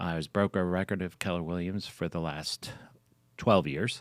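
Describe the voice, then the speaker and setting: In a Philadelphia accent, a man speaks with a very deep, low pitch in a dry, close recording with no echo, very clean against a silent background. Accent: Philadelphia-area American. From Pennsylvania, Philadelphia suburbs (King of Prussia). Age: 70s. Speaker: real estate broker. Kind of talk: interview. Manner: hesitant, many fillers.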